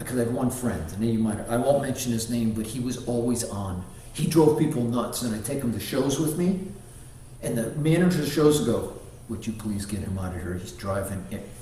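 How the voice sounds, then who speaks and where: A man's medium-pitched voice at a fairly quick pace with lively intonation, plus audible room echo and noticeable background noise. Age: 60s. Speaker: martial arts grandmaster. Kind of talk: casual interview chat.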